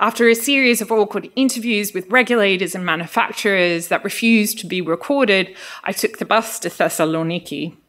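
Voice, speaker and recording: A woman with a strong Australian accent talks at a medium pitch and a fairly quick pace. She uses ordinary pitch variation and hardly any pauses. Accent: thick Australian accent (on her Greek). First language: Greek. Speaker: social science researcher. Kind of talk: lecture.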